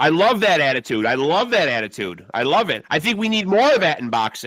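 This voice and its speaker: Fairly high male voice with vocal fry, very wide pitch swings and a fairly quick pace. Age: 50s. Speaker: boxing podcast host. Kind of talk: casual interview chat.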